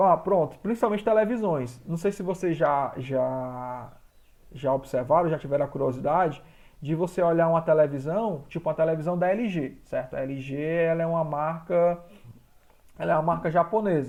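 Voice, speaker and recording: Speaking in a plain, everyday voice, a man keeps a moderate pace at a fairly high pitch that varies in an ordinary way. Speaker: school teacher. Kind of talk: online class lecture.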